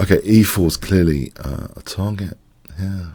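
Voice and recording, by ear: Vocal fry over a slightly mellow tone with a slightly husky edge. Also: man.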